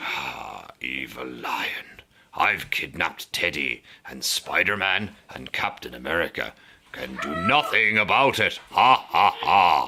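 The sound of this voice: Putting on a character voice, a man speaks slowly with an extremely low pitch, big pitch swings, vocal fry and a bright, sharp tone.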